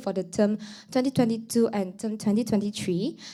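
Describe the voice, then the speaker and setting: A woman with a Mandarin accent speaks in a dark, mellow tone, in a very clean recording over a silent background. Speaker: student council president. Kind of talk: formal speech. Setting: stage with audience. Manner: formal; halting.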